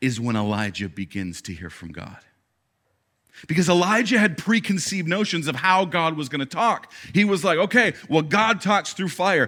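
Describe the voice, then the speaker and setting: A man's bright, sharp tone with vocal fry and very wide pitch swings, on a very clean recording with a silent background. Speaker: pastor. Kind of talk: sermon. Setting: church stage with audience.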